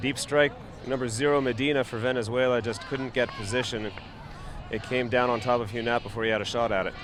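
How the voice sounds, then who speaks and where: Noticeable background noise runs under a man with a medium pitch. He talks at a very fast pace in a monotone, flat intonation. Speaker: sports commentator. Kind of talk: live commentary. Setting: live webcast.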